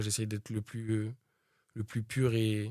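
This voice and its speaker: A man speaks in a dark, mellow tone at a medium pitch, on a very clean recording with a silent background. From France, Pantin, Seine-Saint-Denis (93). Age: 20s. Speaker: rapper. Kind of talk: interview. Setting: studio.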